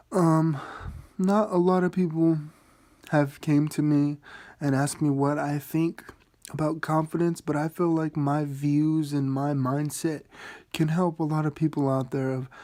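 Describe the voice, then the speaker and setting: The voice is quiet with a dark, mellow tone, speaking at a fairly slow pace with fairly even intonation and long, frequent pauses on a very clean recording with a silent background. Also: man, fairly high pitch for a man. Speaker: vlogger. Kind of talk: casual monologue. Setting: at home at night.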